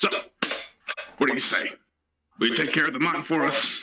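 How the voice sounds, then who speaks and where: A man puts on a character voice at a fairly high pitch, sounding strained. He keeps a fairly quick pace at very even loudness. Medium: actual play. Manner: informal, rambling with fillers.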